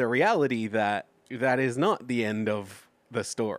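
Here is a man with an Australian accent at medium pitch. He talks at a fairly slow pace. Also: dry, close sound with no echo, very clean recording, silent background. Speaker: podcast host. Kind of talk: casual comedic podcast chat.

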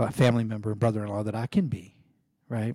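This man's voice sits fairly low, with a dark, mellow tone. It comes across somewhat breathy. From Kentucky. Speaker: podcast host. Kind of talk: motivational monologue. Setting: recording while on vacation.

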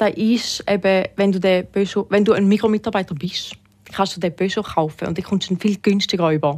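Using a plain, everyday voice, a woman speaks at a moderate pace with a medium pitch and fairly even intonation. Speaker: retail worker. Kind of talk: casual chat.

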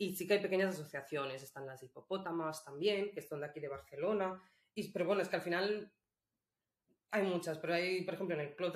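This woman talks very quickly. Her pitch shows ordinary variation. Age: 30s. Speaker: illustrator and feminist activist. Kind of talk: interview conversation. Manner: hesitant, with fillers.

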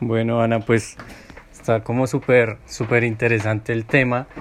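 A man speaks with a monotone, flat intonation. The recording is very clean, with a silent background. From Villavicencio, Colombian plains. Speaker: podcast host. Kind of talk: interview.

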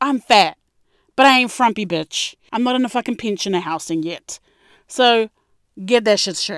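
Lively intonation and an animated tone in a New Zealand accent, at a moderate pace with long, frequent pauses, recorded dry and close with no echo. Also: woman, fairly high pitch for a woman, very clean recording, silent background. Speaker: podcast host. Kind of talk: casual monologue.

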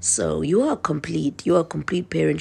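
A woman is speaking. Background noise is noticeable. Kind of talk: devotional monologue. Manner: casual, many fillers.

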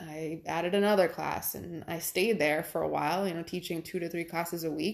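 At a fairly quick pace, a woman speaks at a fairly low pitch with vocal fry on a very clean recording with a silent background. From Rhode Island. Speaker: yoga instructor. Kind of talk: casual interview.

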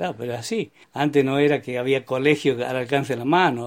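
The man's pitch sits in the medium range with ordinary variation. He speaks at a moderate pace. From Neuquén, Argentina. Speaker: retired former milkman and farm worker. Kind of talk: life story interview. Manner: conversational, hesitant fillers.

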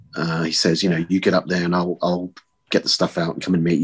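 A man with a New Zealand accent speaks at a fairly quick pace. His pitch is very deep and low, and the sound is dry and close with no echo. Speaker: podcast guest, fan. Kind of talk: casual chat. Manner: hesitant, many fillers.

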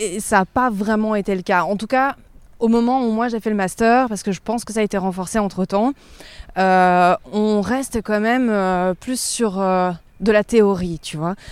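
In a very clean recording with a silent background, a woman speaks at a medium pitch and a fairly slow pace, her intonation fairly even. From Provence, southern France. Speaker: journalist. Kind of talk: interview, casual chat. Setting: outdoors, walking in a park.

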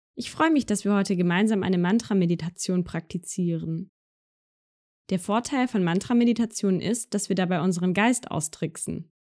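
A woman with a dark, mellow, soothing, calm tone and ordinary pitch variation, on a very clean recording with a silent background. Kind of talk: guided meditation. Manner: slow, soft-spoken, soothing; calm, gentle, with long pauses.

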